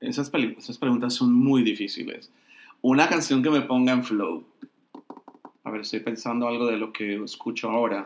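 Fairly even intonation marks a man's medium-pitched voice at a moderate pace. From Colombia. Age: 50s. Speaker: entertainment journalist and film critic. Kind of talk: interview.

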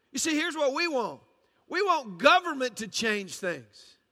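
A man with a Southern US accent, raised and projected, bright and sharp in tone, with lively intonation and a fairly slow pace. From US South, Georgia. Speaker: pastor. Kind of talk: sermon.

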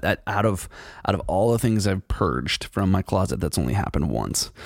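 Vocal fry and a fairly quick pace in a man's very deep, low voice. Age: 40s. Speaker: podcast host. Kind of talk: solo casual monologue. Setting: studio.

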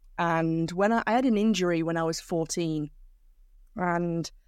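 A woman with a Manchester accent speaks at a fairly low pitch with fairly even intonation, in a very clean recording with a silent background. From northern England, South Manchester. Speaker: cycling commentator. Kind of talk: interview.

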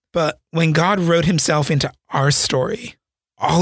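Over a quiet background, a man's somewhat breathy voice shows ordinary pitch variation in a dry, close sound with no echo. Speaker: podcast host. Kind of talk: interview podcast with solo intro and outro. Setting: studio podcast recording.

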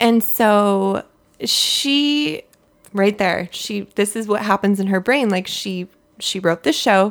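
Speaking at a very slow pace, a woman with a medium pitch talks in an American accent. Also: ordinary pitch variation. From US West Coast (Southern California). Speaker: podcast co-host. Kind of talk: casual chat reviewing TV. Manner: soft-spoken.

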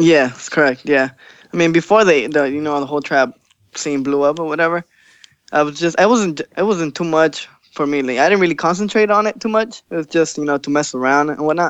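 This man talks at a fairly quick pace in an unremarkable speaking voice. His pitch is fairly high. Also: ordinary pitch variation. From Los Angeles, raised from about age six. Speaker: DJ and electronic music producer. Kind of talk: casual interview. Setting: Skype call.

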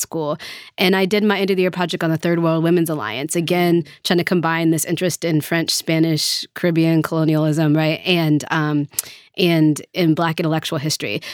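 A plain, everyday voice with an American accent moves at a fairly quick pace in a dry, close sound with no echo. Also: woman. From US South, Nashville. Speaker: history professor. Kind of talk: interview.

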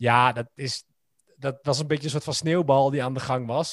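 At a very fast pace, a man with a fairly high pitch talks with fairly even intonation in a dry, close sound with no echo. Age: 30s. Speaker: podcast guest. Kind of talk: casual chat.

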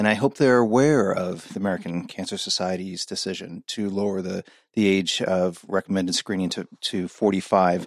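Over a very clean, silent background with a dry, close sound and no echo, a man speaks in a normal speaking voice at a fairly low pitch, at a moderate pace with ordinary pitch variation and hardly any pauses. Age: 40s. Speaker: gastrointestinal pathologist. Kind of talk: interview.

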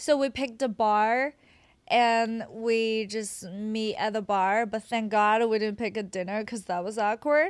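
Speaking at a fairly slow pace with a Chinese accent, a woman uses a fairly high pitch and ordinary pitch variation. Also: very clean recording, silent background. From China, Qingdao. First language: Mandarin Chinese. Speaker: adult content creator. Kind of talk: casual chat. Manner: giggly.

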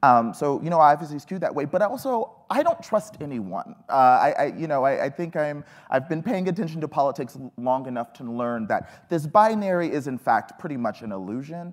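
A man with an American accent talks at a fairly quick pace with hardly any pauses. His fairly high voice moves in very wide pitch swings. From Texas. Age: 30s. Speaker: millennial panelist. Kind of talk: panel discussion.

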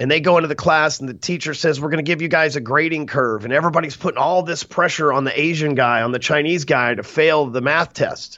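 An animated man's voice, fairly high in pitch, at a fairly quick pace. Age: 40s. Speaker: sales coach and author. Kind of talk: podcast interview.

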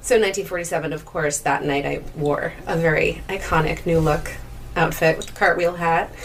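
Noticeable background noise sits under a woman who keeps a moderate pace. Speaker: festival poster model and singer. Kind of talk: casual interview. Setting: recorded in a theater mezzanine with background noise.

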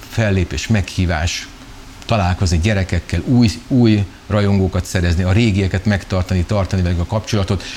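Over noticeable background noise, a man speaks at a moderate pace in a fairly low voice with ordinary pitch variation. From Hungary, Szeged. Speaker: children's musician. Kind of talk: interview.

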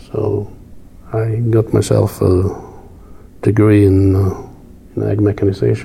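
A man's fairly low-pitched, monotone, flat delivery at a fairly slow pace, with long, frequent pauses and noticeable background noise. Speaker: farm equipment company executive. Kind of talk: casual interview.

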